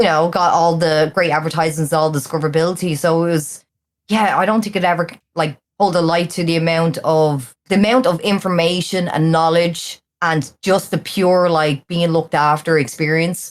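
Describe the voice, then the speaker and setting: The speaker has a strong Irish accent and keeps a moderate pace. Intonation stays fairly even, and loudness is very even throughout. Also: woman, fairly low pitch for a woman, very clean recording, silent background. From Ireland. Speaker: streamer. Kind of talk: casual chat.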